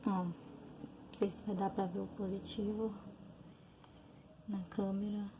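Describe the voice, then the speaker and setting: Over noticeable background noise, a soft-spoken woman with a medium pitch talks in a monotone, flat intonation, leaving long, frequent pauses. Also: fairly slow pace. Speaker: vlogger sharing personal health experience. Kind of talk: personal testimony. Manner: soft-spoken, talking quietly; hesitant, many fillers.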